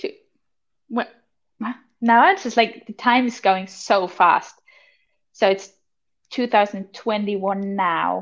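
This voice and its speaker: Speaking very slowly with an Austrian accent, a woman takes long, frequent pauses and keeps her intonation fairly even. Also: medium pitch for a woman. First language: German. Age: 20s. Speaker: podcast co-host, wilderness guide. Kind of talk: casual chat.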